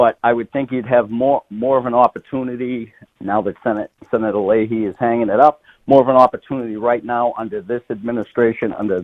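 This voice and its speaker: At a moderate pace, a man with a Boston accent speaks in a medium pitch with ordinary pitch variation. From Massachusetts, north of Boston. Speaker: state politician, retired firefighter. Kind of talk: radio interview.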